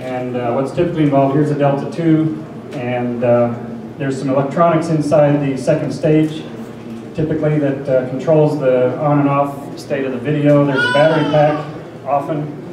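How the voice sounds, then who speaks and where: Over noticeable background noise and audible room echo, a man speaks at a moderate pace in a flat monotone. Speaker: conference presenter. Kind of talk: lecture. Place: hall.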